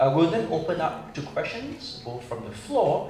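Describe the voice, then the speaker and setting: A man speaks at a fairly quick pace. Light background noise and audible room echo are present. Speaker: forum moderator. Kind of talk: moderator introduction and opening remarks. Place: hall.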